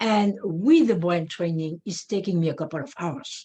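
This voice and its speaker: Somewhat breathy and fairly slow, the woman's voice has a dark, mellow tone and lively intonation. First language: not English. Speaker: neurofeedback practitioner. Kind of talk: webinar presentation. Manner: halting, many fillers.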